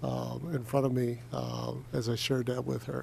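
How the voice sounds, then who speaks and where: With noticeable noise in the background, a man says his lines fairly slowly. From US, child of Spanish-speaking immigrants. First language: Spanish. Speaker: state legislator. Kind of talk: committee meeting remarks. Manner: halting, many fillers.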